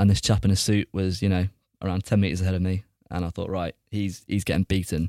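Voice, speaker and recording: In a very clean recording with a silent background and a dry, close sound with no echo, a man talks at a very fast pace with a dark, mellow tone and a fairly low pitch. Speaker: entertainment reporter. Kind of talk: casual interview.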